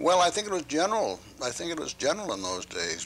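Over light background noise, a man speaks with a Maine accent. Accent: Maine New England. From Portland, Maine, USA. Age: 80s+. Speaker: antiquarian book dealer. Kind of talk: interview answer. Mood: reflective, unhurried recollection. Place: home room. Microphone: lapel.

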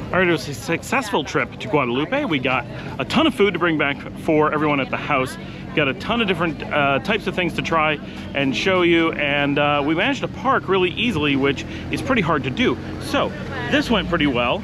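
A man at a fairly quick pace with lively intonation, dry with no echo, music in the background. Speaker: travel vlogger. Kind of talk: casual vlog chat. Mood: upbeat, pleased. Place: street. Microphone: phone near.

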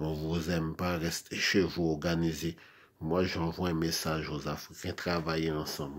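Monotone with flat intonation, a man speaks at a fairly slow pace in a very deep, low pitch. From Haiti. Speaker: video blogger. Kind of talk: monologue rant. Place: home room. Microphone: phone near.

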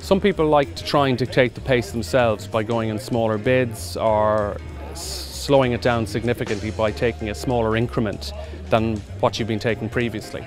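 A man's fairly low voice with lively intonation at a moderate pace, dry with no echo, over clear background music. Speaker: auctioneer. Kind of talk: interview answer. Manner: conversational, reflective. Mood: relaxed, slightly amused. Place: open country.

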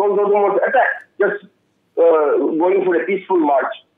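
A man talks with very wide pitch swings, and audible room echo surrounds his voice. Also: quiet background. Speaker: panelist. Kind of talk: televised panel debate. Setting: remote call. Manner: halting. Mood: earnest, appealing. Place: home room. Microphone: video call.

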